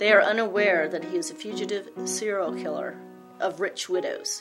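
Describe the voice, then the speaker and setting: Music plays behind a woman's voice. She talks at a moderate speed. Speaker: documentary narrator. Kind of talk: documentary narration.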